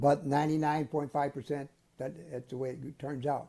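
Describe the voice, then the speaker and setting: Somewhat breathy and dark, mellow in tone, a man speaks at a moderate pace with a fairly high pitch. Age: 80s+. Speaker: shark expert and underwater photographer. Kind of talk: interview answer.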